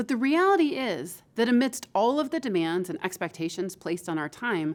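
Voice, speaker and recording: Her pitch medium but swinging very widely, a woman with a Midwestern American accent speaks in a very clean recording with a silent background. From Michigan, US Midwest. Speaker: professor. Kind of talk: lecture.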